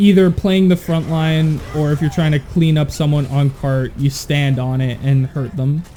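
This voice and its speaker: Fairly high-pitched male voice at a moderate pace, intonation fairly even, with music in the background. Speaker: video game coach. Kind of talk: gameplay review commentary. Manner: casual, with many fillers.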